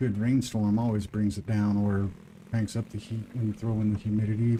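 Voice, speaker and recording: In an American accent, the speaker talks at a moderate pace in a monotone, flat intonation with a dark, mellow tone that is somewhat breathy. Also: man, fairly low pitch for a man. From US Midwest. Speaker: gaming streamer. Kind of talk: live gameplay commentary. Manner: casual, conversational.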